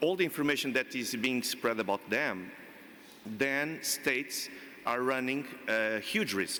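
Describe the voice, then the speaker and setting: A man's bright, sharp voice at medium pitch with a Portuguese accent, lively intonation and a fairly slow pace. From Portugal. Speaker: panel expert. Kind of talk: panel discussion. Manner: halting.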